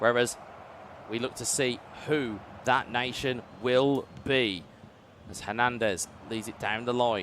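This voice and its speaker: This man has a British accent and a medium-pitched voice, speaking at a fairly slow pace. His loudness swings widely, and he leaves long, frequent pauses. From UK. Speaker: esports commentator. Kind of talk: live commentary. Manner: animated.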